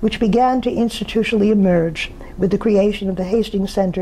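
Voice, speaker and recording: A woman at a fairly quick pace, fairly even in intonation, over noticeable background noise. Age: 80s+. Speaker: sociologist receiving an award. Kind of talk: prepared acceptance speech. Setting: pre-recorded remotely, not present at event. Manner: formal.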